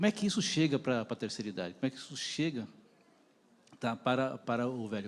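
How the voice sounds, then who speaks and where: This man has an unremarkable speaking voice, medium in pitch, moving at a fairly quick pace with lively intonation. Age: 60s. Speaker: audience member asking a question. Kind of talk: panel Q&A.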